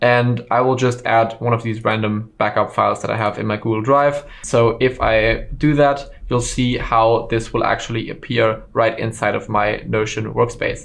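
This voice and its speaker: A man in a German accent speaks at a moderate pace and medium pitch, monotone and flat, with hardly any pauses. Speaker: online course instructor. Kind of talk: tutorial. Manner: casual with frequent fillers.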